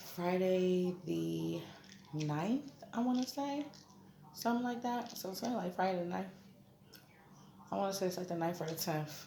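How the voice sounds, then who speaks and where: A woman's lively intonation comes through noticeable background noise and audible room echo. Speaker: vlogger. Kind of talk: casual vlog update. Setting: hospital room. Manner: loud; casual, conversational.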